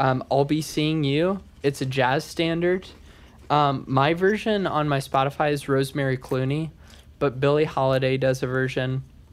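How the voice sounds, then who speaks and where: A man with a normal speaking voice talks at a moderate pace and a fairly high pitch, his intonation fairly even and his loudness very even. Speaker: singer-songwriter. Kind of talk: casual chat.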